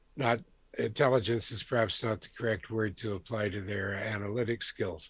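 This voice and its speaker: Recorded very cleanly against a silent background, a man talks at a moderate pace in a fairly low, somewhat breathy voice with fairly even intonation. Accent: Canadian. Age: 70s. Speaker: retired defence analyst. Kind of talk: casual interview conversation.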